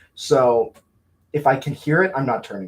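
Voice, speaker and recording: A somewhat breathy man at a moderate pace. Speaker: college radio host. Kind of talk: casual chat.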